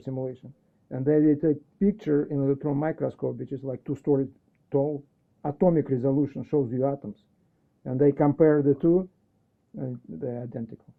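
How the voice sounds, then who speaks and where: With a Russian accent, a man talks at a fairly high pitch. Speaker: educator. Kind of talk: casual chat.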